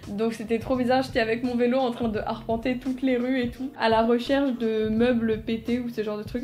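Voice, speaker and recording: The speech comes at a moderate pace in a monotone, flat intonation, with audible room echo and noticeable background noise. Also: woman. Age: young. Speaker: architecture student vlogger. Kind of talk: casual chat. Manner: casual, hesitant with fillers.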